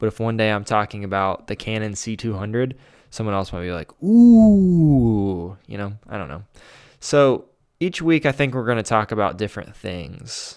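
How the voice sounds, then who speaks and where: A man with an American accent talks in a relaxed tone at a fairly low pitch and a moderate pace, with lively intonation, on a very clean recording with a silent background. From US Midwest, central Ohio. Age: 20s. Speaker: podcast host and filmmaker. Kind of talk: casual solo podcast talk. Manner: relaxed, rambling with fillers.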